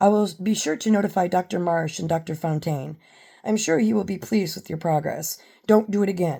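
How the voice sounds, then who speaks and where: This woman uses a put-on character voice that is raspy, pitched in the medium range, with ordinary pitch variation. She talks at a fairly quick pace in a very clean recording with a silent background. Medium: read story. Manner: formal, chopped and plain.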